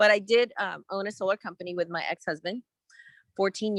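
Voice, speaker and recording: At a moderate pace, a woman with an unremarkable speaking voice keeps fairly even intonation, recorded with a dry, close sound and no echo. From Northern California. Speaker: entrepreneur. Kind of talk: networking call introduction.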